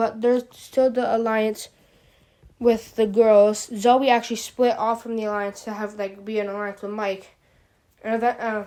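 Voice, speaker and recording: A woman with a fairly high pitch and a dark, mellow tone speaks at a moderate pace in a monotone, flat intonation. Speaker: gaming youtuber. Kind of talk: casual commentary recap. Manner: halting, stutters.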